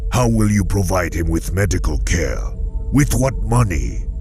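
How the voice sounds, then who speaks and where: Loud music plays in the background. A man uses a cartoonish character voice at a fairly slow pace. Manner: measured, formal, persuasive.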